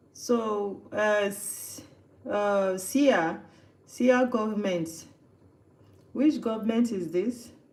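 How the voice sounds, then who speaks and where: Amid audible room echo, a woman with a fairly high pitch and ordinary pitch variation speaks at a very slow pace with long, frequent pauses. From Nigeria. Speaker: livestreamer cooking host. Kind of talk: casual live stream chat.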